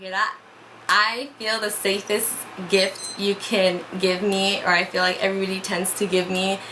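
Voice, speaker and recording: Amid noticeable background noise, a woman at a medium pitch talks at a moderate pace in a monotone, flat intonation. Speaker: vlogger. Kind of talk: casual chat. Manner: loud.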